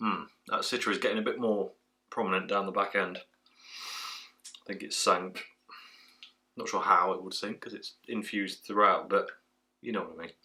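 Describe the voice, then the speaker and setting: Against a quiet background, a man with an English accent speaks with big swings in loudness and long, frequent pauses. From England. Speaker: beer reviewer. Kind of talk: casual review vlog. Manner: fast. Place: home room.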